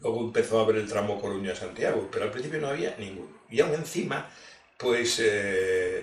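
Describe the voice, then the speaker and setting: With audible room echo and noticeable background noise around him, a man talks fairly quickly. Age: 60s. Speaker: industrial engineer. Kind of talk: interview.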